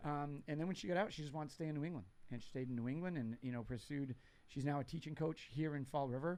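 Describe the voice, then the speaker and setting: This man talks at a very fast pace with an American accent. His pitch is fairly high, with ordinary pitch variation. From New Bedford, Massachusetts (Portuguese family). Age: 50s. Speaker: veteran charity volunteer. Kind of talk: casual chat. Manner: talkative.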